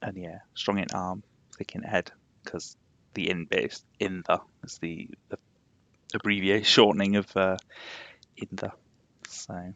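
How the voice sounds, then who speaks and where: A man with a Yorkshire accent speaks at a fairly slow pace in a very deep, low voice, with monotone, flat intonation, big swings in loudness and long, frequent pauses. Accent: posh Yorkshire twang, moderate. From Yorkshire, England. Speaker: game streamer. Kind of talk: casual live-stream chat.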